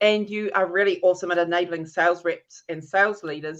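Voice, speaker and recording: With a New Zealand accent, a woman speaks at a moderate pace in an enthusiastic, animated tone against a quiet background. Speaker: interview show host, LinkedIn specialist. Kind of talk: live interview. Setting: live video stream.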